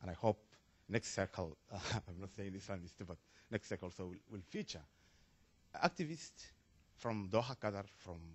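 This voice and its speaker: Using long, frequent pauses and big swings in loudness, a man with a fairly low, somewhat breathy voice talks at a fairly quick pace with ordinary pitch variation. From Somalia. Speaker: audience member asking a question. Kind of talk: panel Q&A comment. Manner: halting.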